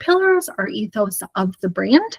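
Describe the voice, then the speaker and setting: A woman's somewhat breathy, fairly high voice with an American accent, very wide pitch swings and a dry, close sound with no echo. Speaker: hair colour educator. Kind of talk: live webinar presentation.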